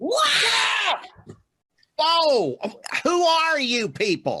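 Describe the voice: A high-pitched, cartoonish character voice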